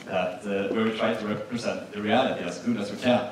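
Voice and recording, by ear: Ordinary pitch variation in a space with audible room echo. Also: man.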